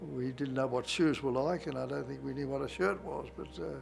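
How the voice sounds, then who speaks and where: With an Australian accent, the speaker talks at a moderate pace over background music, with audible room echo. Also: man. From Australia, Darwin. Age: 90s. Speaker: war veteran. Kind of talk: interview. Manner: halting, many fillers.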